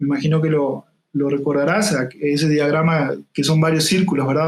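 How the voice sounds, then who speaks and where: A man is speaking. His pitch is fairly high for a man. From Uruguay, interior town. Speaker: UX design consultant. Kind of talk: interview podcast conversation. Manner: hesitant with fillers.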